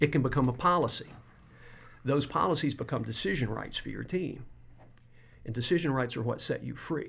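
With an American accent, a man talks at a fairly quick pace in a fairly high pitch, with vocal fry and ordinary pitch variation. He leaves long, frequent pauses. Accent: Southern US accent that shifts when at home. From US South. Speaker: business operating system coach. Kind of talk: interview. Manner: halting, many repetitions.

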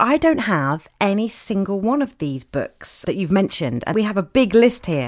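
On a very clean recording with a silent background, a woman with a British accent speaks at a moderate pace and medium pitch, her voice swinging very widely in pitch. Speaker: podcast host. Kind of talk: podcast interview and narration. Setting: studio.

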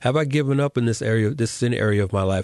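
A man with an American accent speaks at a fairly quick pace in a normal speaking voice of medium pitch. His pitch varies in an ordinary way, and the sound is dry and close with no echo over a quiet background. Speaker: podcast host. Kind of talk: casual interview chat.

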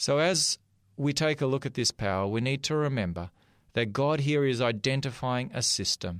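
Recorded very cleanly against a silent background, a man talks at medium pitch and a moderate pace. His intonation is lively and his loudness very even. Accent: Australian. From Australia. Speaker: pastor. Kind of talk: sermon.

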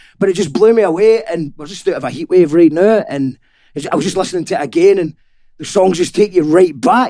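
With a Scottish accent, a man speaks in a high pitch and a dark, mellow tone, using lively intonation and big swings in loudness. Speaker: podcast host. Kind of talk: casual interview chat. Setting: in person, studio.

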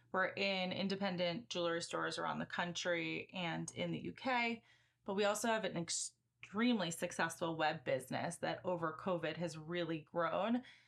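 Against a quiet background, a woman with an American accent speaks at a fairly low pitch and moderate pace, with vocal fry and ordinary pitch variation. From US Midwest, Chicago suburbs. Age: 30s. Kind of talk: interview.

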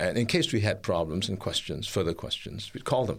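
The speaker moves at a fairly quick pace, with vocal fry and lively intonation. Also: man. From Singapore. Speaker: international speaker and researcher on mental health. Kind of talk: radio interview. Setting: radio studio.

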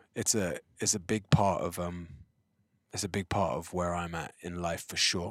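A man with an English accent speaks at a very deep, low pitch. His pace is fairly slow and his intonation fairly even. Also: very clean recording, silent background. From England. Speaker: choreographer and creative director. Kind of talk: casual chat. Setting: in a car.

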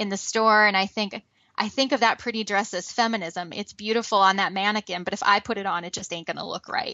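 A woman with a fairly high pitch talks at a fairly quick pace with fairly even intonation, in an ordinary speaking voice. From US Midwest. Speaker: podcast host and adjunct college instructor. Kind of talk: casual panel discussion.

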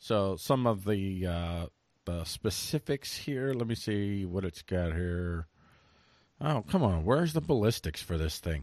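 Against a quiet background with a dry, close sound and no echo, a man with a normal speaking voice talks fairly slowly in a fairly low pitch with lively intonation. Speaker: podcast host. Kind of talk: casual chat. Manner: rambling, joking.

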